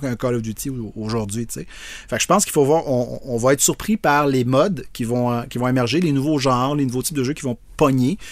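A man's unremarkable speaking voice, medium in pitch and fairly quick in pace. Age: 50s. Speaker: video game designer. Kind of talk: interview.

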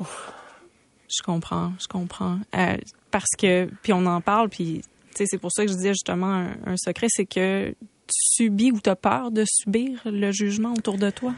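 A woman's plain, everyday voice at a medium pitch, fairly slow with fairly even intonation, dry and close with no echo over a quiet background. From Quebec, Saguenay. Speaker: radio host. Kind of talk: radio interview. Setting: studio.

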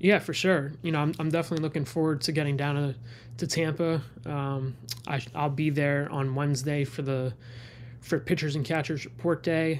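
Using a plain, everyday voice, a man speaks at a moderate pace with fairly high pitch and fairly even intonation. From New York City, the Bronx. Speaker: sports reporter. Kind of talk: casual interview.

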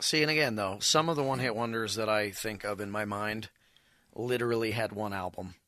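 A bright, sharp voice speaks at a fairly quick pace with ordinary pitch variation. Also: man, fairly low pitch for a man. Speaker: music show host. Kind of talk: casual chat. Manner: animated, energetic.

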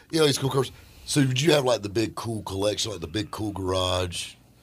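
A man with a fairly low pitch and a somewhat breathy voice speaks at a fairly quick pace, his tone animated and his intonation lively. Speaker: radio host. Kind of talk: casual chat. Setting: studio. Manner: joking, animated.

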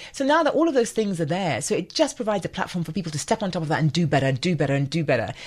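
A woman speaks very fast in a somewhat breathy, fairly low voice with hardly any pauses. Her pitch swings very widely. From Nigeria. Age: 50s. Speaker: foundation executive. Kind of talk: interview conversation.

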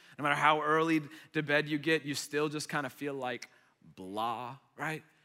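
A man with a bright, sharp, animated tone and a fairly high pitch, with ordinary pitch variation. He talks at a moderate pace on a very clean recording with a silent background. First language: Arabic. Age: 30s. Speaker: young adults pastor. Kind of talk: sermon. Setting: church stage with audience. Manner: animated, conversational.

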